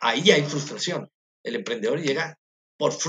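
The man's voice sits fairly high, and his intonation is lively. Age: middle-aged. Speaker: university professor. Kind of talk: interview. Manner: halting.

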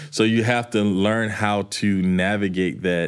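Recorded very cleanly against a silent background, a man uses an ordinary speaking voice at fairly low pitch with fairly even intonation. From US South. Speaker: music producer and songwriter. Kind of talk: interview.

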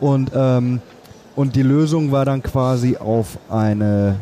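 A man uses a normal speaking voice with ordinary pitch variation. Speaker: podcast host, film producer. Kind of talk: interview. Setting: book fair.

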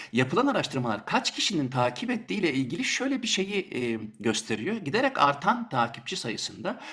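Speaking at a fairly quick pace with hardly any pauses, a man uses a fairly high pitch that moves in very wide swings. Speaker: radio host. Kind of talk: interview.

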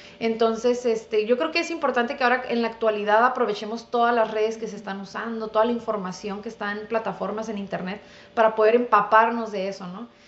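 Against noticeable background noise, a woman speaks very fast with hardly any pauses, her fairly high voice holding fairly even intonation while its loudness swings widely. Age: 30s. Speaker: dentist. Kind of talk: casual interview.

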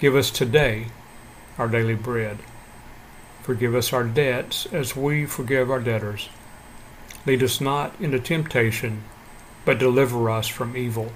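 A warm tone with fairly even intonation moves at a fairly slow pace with long, frequent pauses, over noticeable background noise. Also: man, medium pitch for a man. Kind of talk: short devotional talk followed by fervent prayer. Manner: earnest, warm, fervent and heartfelt in prayer; calm, measured, encouraging.

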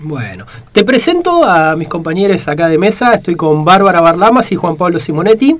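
Music plays in the background. A man speaks with a high pitch. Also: ordinary pitch variation, moderate pace. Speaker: radio host. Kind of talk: radio interview.

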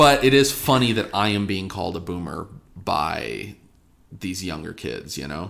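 With vocal fry and a very deep, low pitch, a man speaks at a moderate pace, his pitch swinging very widely and his loudness swinging a lot. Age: 20s. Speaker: podcast co-host and streamer. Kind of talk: casual chat.

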